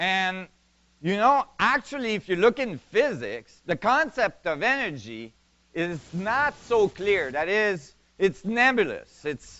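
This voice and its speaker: Very slow speech in a non-native accent, with very wide pitch swings. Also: man, high pitch for a man. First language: not English. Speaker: physics presenter. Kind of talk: lecture.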